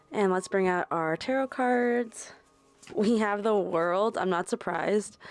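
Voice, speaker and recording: A woman's unremarkable speaking voice at medium pitch, fairly slow, with ordinary pitch variation and very even loudness, in a very clean recording with a silent background. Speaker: tarot reader. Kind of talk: tarot reading. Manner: casual, filler-heavy.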